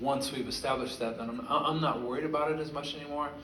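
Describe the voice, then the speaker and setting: A man speaks with fairly even intonation. The recording has audible room echo and noticeable background noise. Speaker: singer-songwriter performing a concert. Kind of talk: stage talk between songs at a concert. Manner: halting, with repeated syllables.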